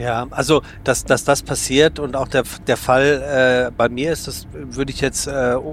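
Against noticeable background noise, a man speaks fairly slowly at a medium pitch with fairly even intonation. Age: 40s. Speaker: podcast host. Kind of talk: casual interview. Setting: on a regional train.

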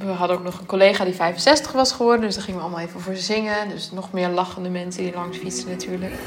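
A woman speaks very fast at medium pitch, with hardly any pauses and ordinary pitch variation. Her loudness swings widely over noticeable background noise. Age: 20s. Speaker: primary school teacher. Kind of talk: audio diary.

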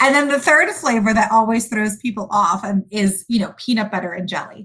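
Against a quiet background, a woman speaks at a moderate pace with a somewhat breathy voice, medium pitch and ordinary pitch variation. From Sudan, raised in US. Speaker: food company founder. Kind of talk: interview.

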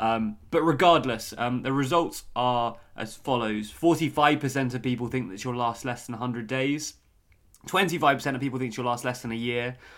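In a British accent, a man of medium pitch talks at a fairly slow pace with ordinary pitch variation. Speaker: podcast host. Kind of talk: casual chat. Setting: remote recording.

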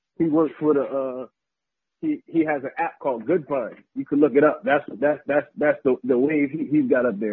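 This man has an ordinary speaking voice with an American accent, a fairly high pitch for a man, and ordinary pitch variation. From US, military family (Texas, Virginia, New Jersey). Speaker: sports blogger and videographer. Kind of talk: casual chat.

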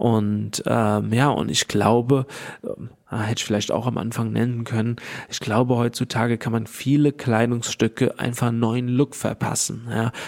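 In a monotone, flat delivery, a man speaks at a medium pitch and a fairly slow pace. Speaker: entrepreneur. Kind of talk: interview. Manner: halting, many fillers.

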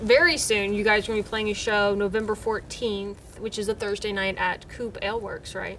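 Over music in the background, a woman speaks at a fairly high pitch. Her intonation stays fairly even. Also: fairly quick pace. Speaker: music show host. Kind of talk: casual interview. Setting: studio.

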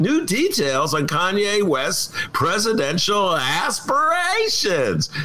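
A man's put-on character voice, raised and projected, high in pitch, at a fairly slow pace. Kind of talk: formal, broadcast. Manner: brisk, polished.

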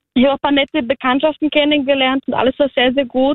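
Very fast and high-pitched, a woman rattles through her words. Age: 20s. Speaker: guest telling a dating story. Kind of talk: storytelling.

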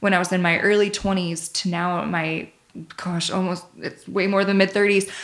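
Fairly even in intonation, this woman's medium-pitched delivery is an ordinary speaking voice. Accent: American. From Michigan. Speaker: personal trainer and nutritionist. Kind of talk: casual chat.

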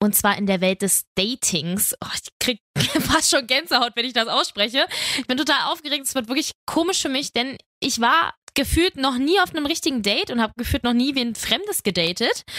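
A woman uses a raised, projected voice, high in pitch and swinging very widely. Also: moderate pace, dry, close sound with no echo. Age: 20s. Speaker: podcast host. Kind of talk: casual chat.

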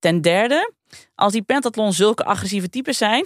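Recorded very cleanly against a silent background, a woman speaks in an ordinary speaking voice at medium pitch. Her pace is fairly quick, her intonation lively, and the sound dry and close with no echo. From Friesland, Netherlands. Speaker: podcast co-host. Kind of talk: storytelling.

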